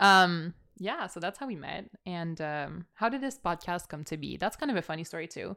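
In a very clean recording with a silent background, a woman with a fairly low pitch talks at a moderate pace in an animated, bright and sharp tone with lively intonation. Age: 20s. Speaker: podcast co-host and student. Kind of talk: casual chat. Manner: animated, laughing often.

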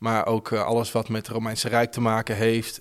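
A very clean recording, silent in the background, with speech at a moderate pace. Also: man. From Netherlands, Houten near Utrecht. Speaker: radio host. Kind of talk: interview.

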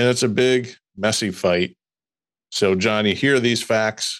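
On a very clean recording with a silent background, a man with a Midwestern US accent talks at a fairly slow pace and medium pitch, with ordinary pitch variation. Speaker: lawyer podcast host. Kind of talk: casual chat, legal discussion.

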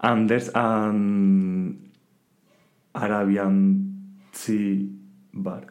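In a Spanish accent, a man speaks at a fairly low pitch and a very slow pace, with long, frequent pauses. His intonation is fairly even, and there is audible room echo. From Spain. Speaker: podcast guest, student. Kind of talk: casual chat. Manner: halting in English.

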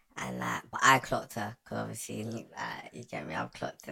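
A man in a British accent talks at a moderate pace.

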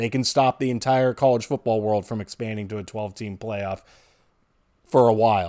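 With an American accent, a man speaks fairly quickly at a medium pitch in a dark, mellow tone, in a very clean recording with a silent background. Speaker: sports podcast co-host. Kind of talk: casual chat. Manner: animated.

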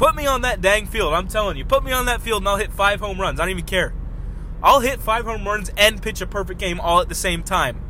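A man speaks in an animated tone at a fairly quick pace, with noticeable background noise and audible room echo. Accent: American. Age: 20s. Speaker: podcast host. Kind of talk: casual solo chat. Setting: in a car.

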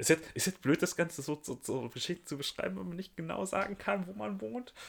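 Somewhat breathy, a man talks at a fairly quick pace, his pitch swinging very widely. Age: 20s. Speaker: podcast co-host. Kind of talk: casual chat. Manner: hesitant, many fillers.

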